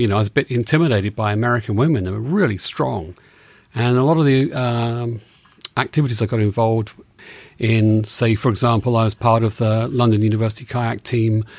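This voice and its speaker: In an English accent, a man speaks at a fairly quick pace with a medium pitch and fairly even intonation. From England. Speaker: advertising creative director, host's husband. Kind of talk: casual interview conversation.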